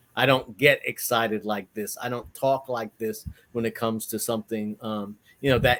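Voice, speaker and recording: With an American accent, a man speaks at a moderate pace in a bright, sharp tone. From New York (New Rochelle). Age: 60s. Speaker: entrepreneur and educator. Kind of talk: interview. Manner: halting.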